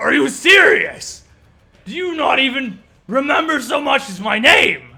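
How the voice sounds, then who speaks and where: Shouting at a moderate pace, the speaker uses an angry tone in a put-on character voice. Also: man, extremely high pitch for a man. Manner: angry, yelling.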